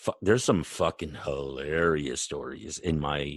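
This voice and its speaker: A man speaks at a fairly slow pace in a very deep, low pitch. Vocal fry runs through his voice. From eastern Canada. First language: French. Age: 40s. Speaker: podcast co-host. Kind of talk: casual chat.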